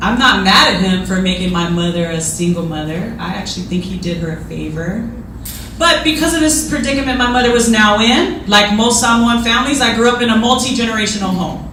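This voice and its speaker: Over noticeable background noise and audible room echo, a woman speaks at a fairly quick pace. Her voice is fairly high with lively intonation. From Hawaii. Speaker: army officer, guest speaker. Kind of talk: speech. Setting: luncheon audience. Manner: animated.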